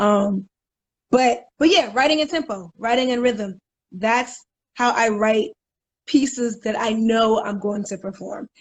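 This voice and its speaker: With a fairly high pitch and ordinary pitch variation, a woman speaks in a somewhat breathy voice at a fairly slow pace, leaving long, frequent pauses. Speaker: spoken word poet. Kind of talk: casual interview chat. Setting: live video stream.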